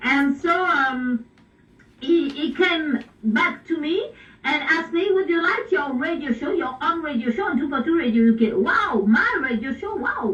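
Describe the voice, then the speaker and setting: Shouting at a fairly slow pace, a woman with a French accent uses a high pitch and very wide pitch swings. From France. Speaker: pop singer and radio DJ. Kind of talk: radio interview. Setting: radio broadcast. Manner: halting.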